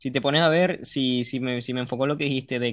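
A man talks at a medium pitch with a normal speaking voice. His pace is fairly quick and his intonation fairly even. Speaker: podcast co-host. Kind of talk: casual chat.

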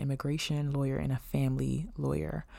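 Over a silent background in a very clean recording, a woman speaks at a moderate pace in an animated tone. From Maryland, Prince George's County (DC area). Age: 20s. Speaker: podcast host. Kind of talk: casual monologue podcast intro. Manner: animated, frequent laughter and fillers.

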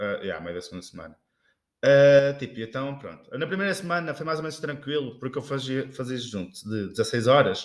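In an ordinary speaking voice, a man speaks at a moderate pace with a fairly high pitch, lively intonation and big swings in loudness. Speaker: podcast co-host. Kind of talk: casual chat. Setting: kitchen.

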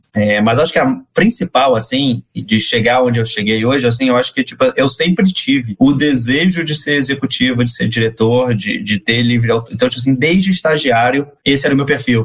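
At a moderate pace with hardly any pauses, a man talks at a medium pitch with ordinary pitch variation and very even loudness. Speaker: marketing director. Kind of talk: casual interview.

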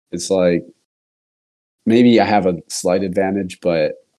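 Speaking fairly slowly with a Californian accent, a man uses a very deep, low pitch with ordinary pitch variation. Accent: Californian American. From US West Coast, California East Bay. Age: 30s. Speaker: podcast host. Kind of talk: casual chat.

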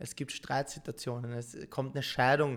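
A man with a plain, everyday voice, at a moderate pace and with fairly even intonation, on a very clean recording against a silent background. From Austria, Vienna. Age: 30s. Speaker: professional esports gamer. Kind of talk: podcast interview.

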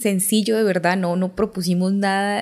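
At a medium pitch and a moderate pace, this woman speaks in an unremarkable speaking voice. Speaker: podcast host, mother. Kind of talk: interview.

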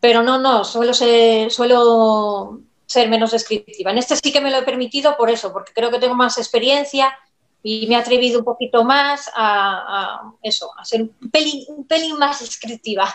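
A woman speaks with a high pitch and fairly even intonation at a moderate pace. Her loudness swings widely. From Asturias, Spain. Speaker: novelist. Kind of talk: live-streamed book presentation interview. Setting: video call livestream.

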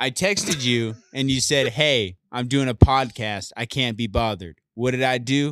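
A man with a plain, everyday voice talks at a moderate pace with hardly any pauses, medium pitch and ordinary pitch variation, in a dry, close sound with no echo. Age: 30s. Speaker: host's brother, guest. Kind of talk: casual chat. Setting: home garage studio.

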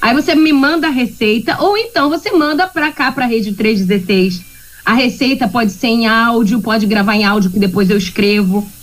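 Over noticeable background noise, a woman with a fairly high pitch talks at a moderate pace in an animated tone. Her intonation is lively and her loudness very even. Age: 40s. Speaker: radio segment presenter. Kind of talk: casual talk-radio chat. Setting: remote from home.

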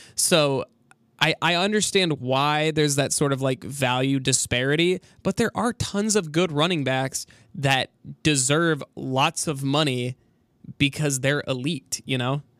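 Recorded very cleanly against a silent background with a dry, close sound and no echo, a normal speaking voice moves at a fairly slow pace with ordinary pitch variation. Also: man, fairly high pitch for a man. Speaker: college radio sports host. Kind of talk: casual chat.

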